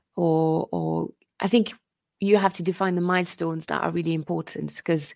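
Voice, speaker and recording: A woman with a French accent at a fairly quick pace, in a very clean recording with a silent background. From France. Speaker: innovation consultant and coach. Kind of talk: interview.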